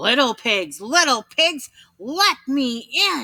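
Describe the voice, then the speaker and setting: Putting on a growling character voice, a woman speaks at a very slow pace in a high pitch, recorded very cleanly against a silent background. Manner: menacing, growling.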